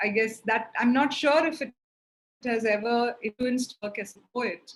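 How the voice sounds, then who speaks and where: This woman's voice sits at a fairly high pitch, with a Keralan accent. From India, grew up in Chennai (Tamil Nadu). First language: Malayalam. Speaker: poet and translator. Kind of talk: interview in online poetry reading. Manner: halting, many fillers.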